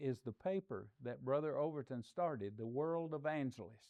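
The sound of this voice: A man speaks fairly slowly with lively intonation, a slightly mellow tone and a fairly high pitch.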